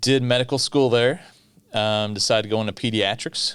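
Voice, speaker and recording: A man talks with a Kentucky accent. His pace is fairly quick. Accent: Kentucky Southern US. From US South, South Central Kentucky (Bowling Green). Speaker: pediatrician. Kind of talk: podcast interview.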